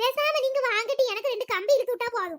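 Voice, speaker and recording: A woman does a squeaky, put-on character voice at an extremely high pitch, with ordinary pitch variation and a moderate pace. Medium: cartoon. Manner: relaxed, homely.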